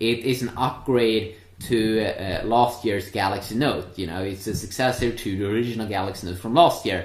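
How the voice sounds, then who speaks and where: Somewhat breathy and fairly low in pitch, a man speaks with ordinary pitch variation and hardly any pauses, with audible room echo. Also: moderate pace. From Sweden. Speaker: tech reviewer. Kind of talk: product review. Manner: hesitant, many filler sounds.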